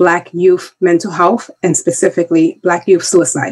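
Speaking with an American accent, a woman has an unremarkable speaking voice with a fairly low pitch. Her intonation stays fairly even. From US Northeast, the Bronx, New York City. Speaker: diversity and inclusion expert. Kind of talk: interview.

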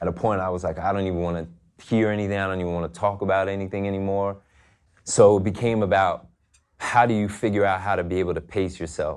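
A man with an American accent, very fast and monotone, flat in intonation. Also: fairly low pitch for a man, quiet background. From New York. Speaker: fashion designer. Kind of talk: interview conversation.

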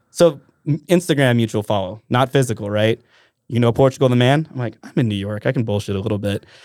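This man talks at a very fast pace with a medium pitch and ordinary pitch variation. The recording is very clean, with a silent background. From Alaska, Mat-Su area (Trapper Creek). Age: 30s. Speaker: musician and tour manager. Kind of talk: casual chat.

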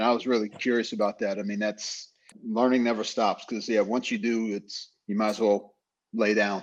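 This man has an unremarkable speaking voice at a medium pitch. He keeps a moderate pace and fairly even intonation. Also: quiet background. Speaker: podcast co-host, former team manager. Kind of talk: casual chat. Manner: casual, slangy.

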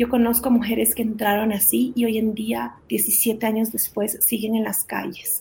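A woman's fairly high voice, dark and mellow in tone, with vocal fry and a fairly slow pace. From Guatemala, raised in Ecuador from age six. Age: 40s. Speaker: charity founder. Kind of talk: testimony.

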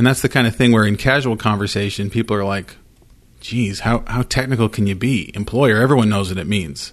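A man with an American accent and a normal speaking voice, fairly low in pitch, with ordinary pitch variation and a fairly quick pace. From Idaho, US. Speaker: employment lawyer. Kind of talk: casual chat.

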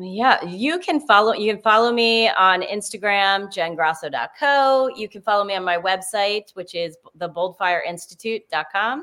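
Lively intonation marks this woman's medium-pitched voice, in an American accent. She keeps a moderate pace with hardly any pauses. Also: big swings in loudness. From US Northeast, New Jersey. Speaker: confidence coach, former lawyer. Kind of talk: casual interview. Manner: animated.

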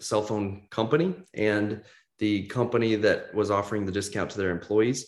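This is a man speaking. He has a Midwestern American accent. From US Midwest, Kansas City. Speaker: entrepreneur. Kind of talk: interview.

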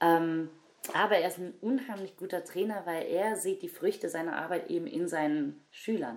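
With a plain, everyday voice, a woman speaks at a fairly low pitch and a moderate pace, using ordinary pitch variation. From Germany, Cologne. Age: 20s. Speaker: breakdancer. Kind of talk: interview.

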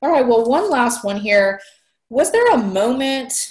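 A woman keeps a moderate pace, her intonation lively. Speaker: podcast host. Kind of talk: casual interview chat. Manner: animated.

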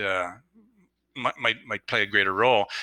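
The sound is dry and close with no echo as a man speaks in a bright, sharp tone. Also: very clean recording, silent background. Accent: Canadian. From Canada. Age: 60s. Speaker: sports scientist. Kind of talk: casual chat.

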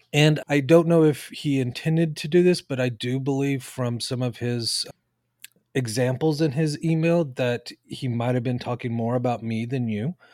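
A man speaks in an unremarkable speaking voice at medium pitch, with ordinary pitch variation. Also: moderate pace. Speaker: high school math teacher and podcast co-host. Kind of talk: casual co-host conversation about grading.

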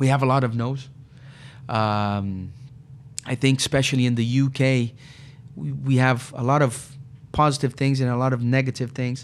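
At a moderate pace with long, frequent pauses, the voice carries a Portuguese accent and fairly even intonation. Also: man, medium pitch for a man. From Brazil, São Paulo. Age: 40s. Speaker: recruitment business CEO. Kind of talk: interview.

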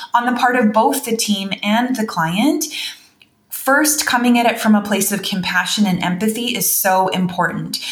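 A woman with a Canadian accent speaks at a moderate pace and a fairly high pitch with ordinary pitch variation, amid noticeable background noise and audible room echo. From Canada. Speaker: veterinarian and wellness educator. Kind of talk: interview.

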